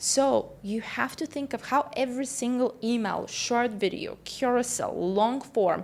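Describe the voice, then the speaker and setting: A woman with a non-native accent, high in pitch, at a fairly slow pace, with ordinary pitch variation. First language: not English. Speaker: business coach and entrepreneur. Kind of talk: online business tutorial.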